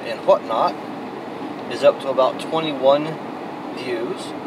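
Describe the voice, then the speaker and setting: Noticeable noise and audible room echo are present throughout. A man delivers his words at a very slow speed. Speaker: vlogger. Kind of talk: casual vlog monologue. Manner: rambling, conversational.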